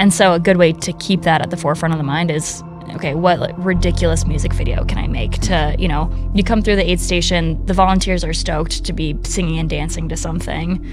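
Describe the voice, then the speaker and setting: Clear music in the background behind a woman's fairly quick delivery. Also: dry sound with no echo. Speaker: guest. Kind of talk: interview answer. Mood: relaxed, upbeat storytelling. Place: studio. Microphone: studio mic.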